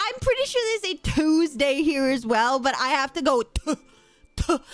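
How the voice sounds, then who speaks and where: A woman with a high voice speaks at a moderate pace, her pitch swinging very widely. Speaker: VTuber streamer. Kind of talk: live gaming stream chat. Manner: animated.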